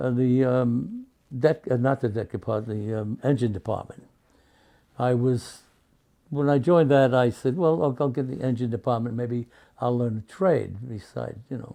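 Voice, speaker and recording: A man with a New York accent, medium pitch, dark and mellow tone, ordinary pitch variation and moderate pace. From New York City, Brooklyn. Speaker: war veteran. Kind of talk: interview. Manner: halting.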